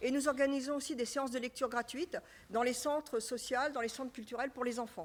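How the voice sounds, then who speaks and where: Here a woman talks at a fairly quick pace with a high pitch. Her pitch variation is ordinary. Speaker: association president. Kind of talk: public meeting presentation. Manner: hesitant, many fillers.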